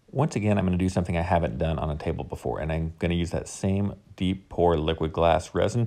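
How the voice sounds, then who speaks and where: A man with an American accent speaks at a very fast pace with hardly any pauses, his very deep, low voice dark and mellow with vocal fry. His pitch variation is ordinary, and the recording is very clean with a silent background. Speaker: woodworker. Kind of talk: tutorial.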